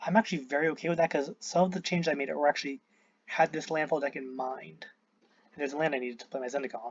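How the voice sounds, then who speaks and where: Talking at a very fast pace, a man with a fairly high voice shows ordinary pitch variation. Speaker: gaming YouTuber. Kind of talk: gameplay commentary. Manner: hesitant, many fillers.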